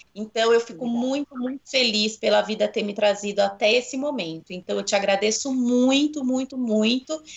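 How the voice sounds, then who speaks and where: A woman's fairly high voice with ordinary pitch variation and hardly any pauses, over noticeable background noise. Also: moderate pace. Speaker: podcast co-host, jazz dance teacher. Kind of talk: casual podcast chat.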